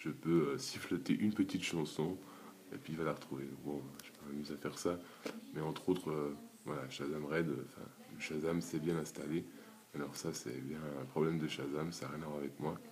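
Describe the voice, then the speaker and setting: A quiet man speaks at a fairly quick pace with long, frequent pauses, his very deep, low voice showing vocal fry, fairly even intonation, and big swings in loudness. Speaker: YouTuber app developer. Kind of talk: screen-recorded tutorial. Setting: at home, early morning. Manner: quiet, holding back volume.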